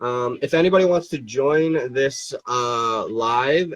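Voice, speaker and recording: This man talks with fairly even intonation. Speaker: fingerboard brand owner and live streamer. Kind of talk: casual live stream chat. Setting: Instagram live stream. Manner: halting, hesitant with fillers.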